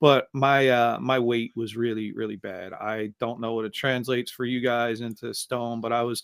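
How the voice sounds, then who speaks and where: A plain, everyday voice with an American accent speaks at a moderate pace and with fairly even intonation. The sound is dry and close with no echo, in a very clean recording with a silent background. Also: man. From United States. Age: 50s. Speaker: podcast host and author. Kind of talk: interview conversation.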